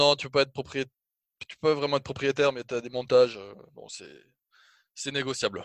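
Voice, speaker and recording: A man talks at a fairly quick pace in a fairly high pitch, monotone and flat, with big swings in loudness. He takes long, frequent pauses, and the sound is dry and close with no echo. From France, Toulouse. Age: 20s. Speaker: airline pilot and clothing brand founder. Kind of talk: casual interview. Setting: video call.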